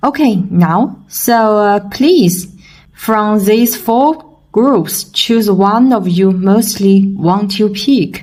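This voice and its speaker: Speaking at a very slow pace, a woman has a medium pitch, very even loudness and a somewhat breathy sound. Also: ordinary pitch variation. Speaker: tarot reader. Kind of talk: tarot reading for viewers. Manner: halting with many fillers.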